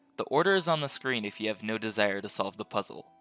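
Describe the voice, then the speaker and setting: A man talks at a fairly quick pace in a dry, close sound with no echo, with music in the background. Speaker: game guide creator. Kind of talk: video game guide narration.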